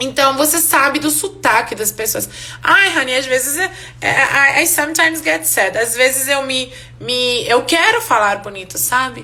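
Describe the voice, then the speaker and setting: A woman with a non-native accent and a high pitch talks at a fairly slow pace in a raised, projected voice. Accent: foreign accent in Portuguese, noticeable. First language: Hungarian (speaking Portuguese). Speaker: English teacher. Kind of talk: live online class. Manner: casual, conversational.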